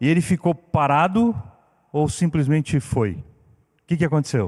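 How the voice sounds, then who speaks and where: At a very slow pace, a fairly high-pitched man speaks in a very clean recording with a silent background. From Brazil, Curitiba. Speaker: guest preacher. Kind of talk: sermon. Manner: animated.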